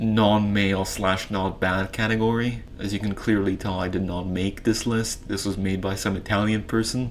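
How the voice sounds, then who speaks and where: A man's fairly low, monotone voice at a moderate pace with hardly any pauses, plus audible room echo and noticeable background noise. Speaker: YouTuber ranking philosophers. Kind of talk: casual commentary video. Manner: halting, many fillers.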